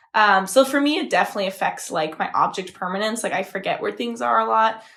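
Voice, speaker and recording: A woman talks at a very fast pace with a bright, sharp tone and vocal fry. Her pitch swings very widely. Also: medium pitch for a woman. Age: 20s. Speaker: podcast co-host. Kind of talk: casual chat.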